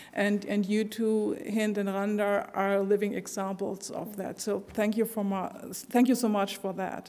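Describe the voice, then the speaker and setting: A woman speaks at a fairly slow pace in a medium pitch, her intonation monotone and flat, with hardly any pauses. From Germany. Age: 60s. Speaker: sociologist. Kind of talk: panel discussion.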